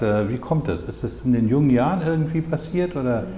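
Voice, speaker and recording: A man's voice carries audible room echo. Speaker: interviewer. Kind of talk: interview questions. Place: shop. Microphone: lapel.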